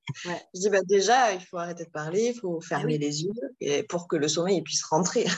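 Over noticeable background noise, a woman speaks at a fairly quick pace. Her voice is fairly low, with ordinary pitch variation. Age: 40s. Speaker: single mother seeking parenting advice. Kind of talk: casual chat. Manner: halting.

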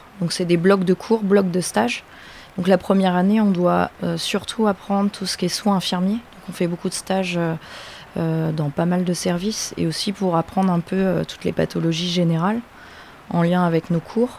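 A woman with a fairly low pitch talks at a moderate pace with fairly even intonation and long, frequent pauses, against noticeable background noise. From Normandy, France. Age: 30s. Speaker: dentist, former midwife. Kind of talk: interview. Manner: hesitant, many fillers.

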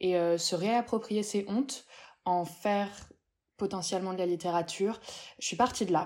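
A woman's voice, an ordinary speaking voice, fairly even in intonation and moderate in pace. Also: very clean recording, silent background. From Paris, Pigalle. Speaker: novelist. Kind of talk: interview.

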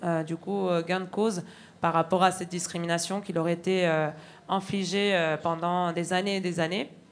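A woman with an ordinary speaking voice, medium pitch, fairly even intonation and a fairly slow pace. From Argentina. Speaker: railway signal worker, union activist. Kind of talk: testimony at a public evening. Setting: stage with audience.

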